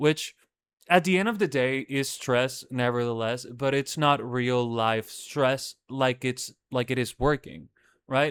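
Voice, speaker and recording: A man speaks fairly slowly in a Spanish accent, at a medium pitch with ordinary pitch variation. The recording is very clean, with a silent background and a dry, close sound with no echo. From Dominican Republic. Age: 20s. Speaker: podcast host. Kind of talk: casual monologue podcast. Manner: casual, hesitant with fillers.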